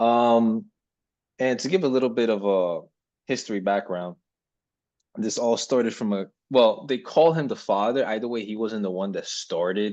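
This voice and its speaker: A man with a non-native accent, fairly low pitch and ordinary pitch variation, at a fairly slow pace over a quiet background. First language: not English. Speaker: podcast co-host. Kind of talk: casual discussion. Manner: hesitant, many ums.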